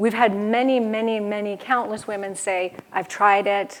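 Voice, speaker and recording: A woman speaks at a medium pitch with fairly even intonation. Noticeable background noise sits behind her. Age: 40s. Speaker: health speaker on women's hormones. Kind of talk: conference talk Q&A with audience. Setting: stage with audience.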